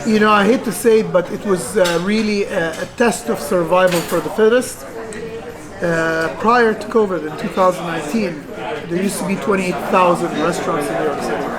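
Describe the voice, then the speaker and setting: A woman with an Egyptian accent talks at a fairly quick pace, at a medium pitch with ordinary pitch variation. Noticeable background noise and audible room echo surround her voice. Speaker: restaurant owner. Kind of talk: interview. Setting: in a restaurant. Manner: halting, many fillers.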